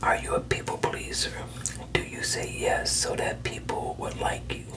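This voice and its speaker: A man whispering in a calm tone at a moderate pace. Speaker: coach or counselor. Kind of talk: self-help coaching talk. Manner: soft, calm ASMR therapist voice. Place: home room. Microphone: phone near.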